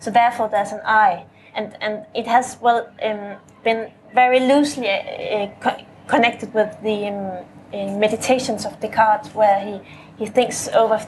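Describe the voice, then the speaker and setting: A woman talks at a moderate pace with a fairly high pitch and fairly even intonation. Her loudness swings widely, and there is noticeable background noise. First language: not English. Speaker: poet. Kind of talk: panel discussion. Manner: halting, many repetitions.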